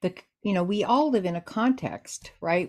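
At a fairly slow pace and medium pitch, a woman talks in a normal speaking voice. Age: 60s. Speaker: Dianic priestess and author. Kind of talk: casual interview conversation.

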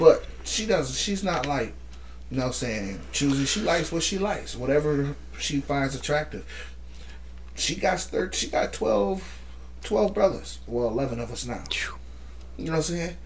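A man with an American accent talks at a moderate pace, with long, frequent pauses. Audible room echo and noticeable background noise fill the recording. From Holland, Michigan (US Midwest). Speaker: wrestling fan guest. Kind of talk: casual chat.

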